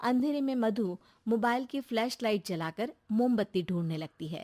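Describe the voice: A woman's medium-pitched, slightly mellow voice at a moderate pace, with lively intonation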